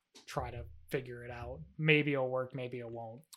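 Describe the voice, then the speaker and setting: A man's medium-pitched voice with an upstate New York accent. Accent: upstate New York American. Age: 20s. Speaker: dairy farmer and milk tester. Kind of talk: casual chat.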